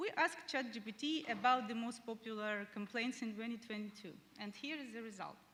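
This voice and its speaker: The woman speaks at a moderate pace. Her pitch is fairly high. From Ukraine. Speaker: head of support, conference speaker. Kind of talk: conference presentation. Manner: hesitant, many filler sounds.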